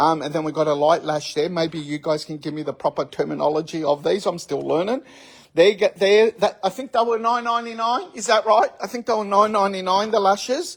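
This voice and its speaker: A man with an Australian accent, high-pitched, at a fairly quick pace with lively intonation. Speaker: store owner presenting sale video. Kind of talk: walkthrough sales video.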